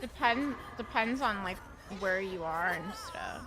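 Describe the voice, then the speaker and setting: Over music in the background, a woman speaks in an animated tone with lively intonation. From New Jersey. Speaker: gaming streamer. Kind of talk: live gameplay stream chat. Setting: live stream.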